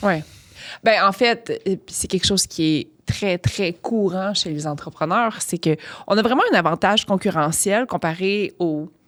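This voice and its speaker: At a fairly slow pace, a woman talks in an ordinary speaking voice, medium in pitch with ordinary pitch variation. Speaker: podcast host and entrepreneur. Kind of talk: podcast interview. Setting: studio.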